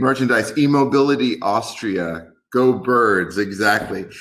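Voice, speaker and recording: A man with an American accent speaks very slowly at a medium pitch with ordinary pitch variation. There is audible room echo. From New York. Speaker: tech company executive. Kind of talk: webinar presentation.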